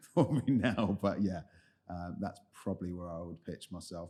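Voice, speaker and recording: A man with a London accent has a very deep, low pitch and a dark, mellow tone on a very clean recording with a silent background. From London (Lewisham, southeast). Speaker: head of product in tech, podcast guest. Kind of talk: interview conversation.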